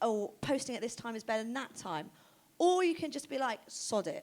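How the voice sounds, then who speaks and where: With an animated tone, a woman speaks at a high pitch with very wide pitch swings. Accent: southern English. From southern England, Oxford. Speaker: fashion stylist and creative director. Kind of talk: stage interview. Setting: stage with audience. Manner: fast.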